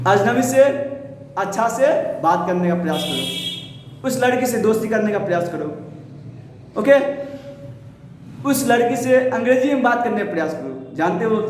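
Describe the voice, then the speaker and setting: A man speaks with lively intonation and long, frequent pauses, with audible room echo and noticeable background noise. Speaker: English teacher. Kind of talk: tutorial.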